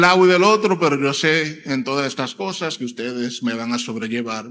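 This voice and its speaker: Here is a man with a fairly high pitch. His tone is bright and sharp. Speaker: preacher and church elder. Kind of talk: sermon. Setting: church. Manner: hesitant fillers (eh).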